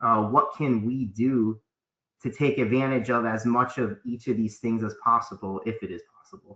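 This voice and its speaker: A man's medium-pitched voice, bright and sharp in tone, with fairly even intonation and big swings in loudness. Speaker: tax accountant. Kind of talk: webinar presentation. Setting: online webinar. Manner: fast.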